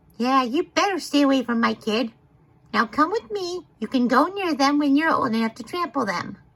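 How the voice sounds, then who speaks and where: A put-on character voice that sounds female speaks at a high pitch and a moderate pace. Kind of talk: funny animal voice-over of a video. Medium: dub.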